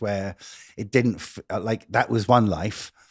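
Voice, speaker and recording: A man's fairly low-pitched voice, a normal speaking voice, with ordinary pitch variation at a moderate pace. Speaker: interview host, podcast host. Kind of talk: interview question. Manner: chatty, jokey.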